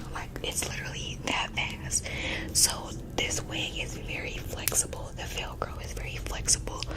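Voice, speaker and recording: With noticeable background noise behind her, a woman whispers at a moderate pace. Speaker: wig reviewer. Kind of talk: ASMR product demonstration. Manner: soft-spoken.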